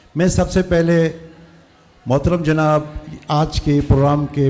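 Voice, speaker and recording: Noticeable background noise sits beneath speech whose intonation remains fairly even. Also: man. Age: 60s. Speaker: community elder. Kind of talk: farewell speech. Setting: school event with audience.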